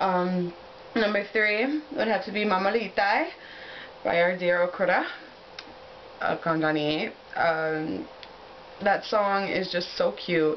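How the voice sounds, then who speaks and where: An enthusiastic woman's voice of medium pitch, fairly slow with long, frequent pauses and ordinary pitch variation, over noticeable background noise. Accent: American. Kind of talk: casual talk to camera. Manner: enthusiastic, chatty.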